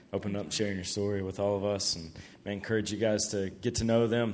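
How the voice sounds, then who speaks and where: With a very deep, low pitch and fairly even intonation, a man speaks at a very fast pace. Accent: Southern US. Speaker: camp staff member introducing speakers and praying.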